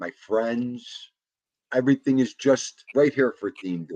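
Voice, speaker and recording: A man's medium-pitched voice with an American accent, very slow pace, ordinary pitch variation, dark, mellow tone, and a dry, close sound with no echo. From Buffalo, New York. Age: 50s. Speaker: livestream podcast host. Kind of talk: casual chat. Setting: livestream.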